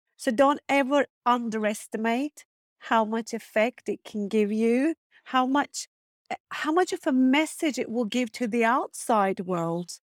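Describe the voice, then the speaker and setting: With a Turkish accent, a woman speaks fairly slowly at a high pitch, in a dry, close sound with no echo on a very clean recording with a silent background. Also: lively intonation. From Turkey, small seaside town. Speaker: fashion designer and business coach. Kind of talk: interview.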